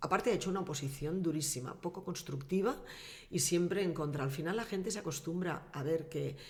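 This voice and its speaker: A woman with a very deep, low pitch and a somewhat breathy voice talks at a fairly quick pace with ordinary pitch variation and audible room echo. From Valencian Community, Castellón province (Vinaròs). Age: 60s. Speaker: former mayor and politician. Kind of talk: casual interview.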